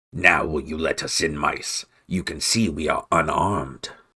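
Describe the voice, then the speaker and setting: Using a put-on character voice, a man growls at a moderate pace with a very deep, low pitch. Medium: read story. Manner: scornful, menacing.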